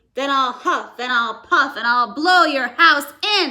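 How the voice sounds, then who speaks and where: A woman puts on a character voice, high and loud. She speaks at a fairly slow pace. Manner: loud, threatening.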